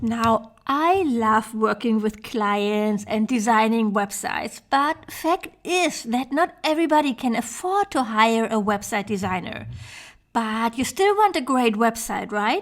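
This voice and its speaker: A woman with a German accent, fairly high in pitch, at a fairly slow pace with lively intonation. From Germany, Hamburg. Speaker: web designer for yoga teachers. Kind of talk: online training presentation. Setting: online summit presentation.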